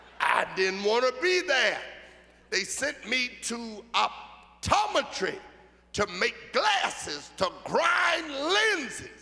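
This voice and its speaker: Very slow speech in an American accent with very wide pitch swings over noticeable background noise. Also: man, extremely high pitch for a man. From Philadelphia, US. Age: 70s. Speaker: bishop. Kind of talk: sermon.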